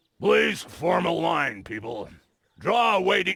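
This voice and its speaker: A man performs a put-on character voice, raspy and high-pitched. He speaks at a fairly slow pace. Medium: video game. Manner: officious.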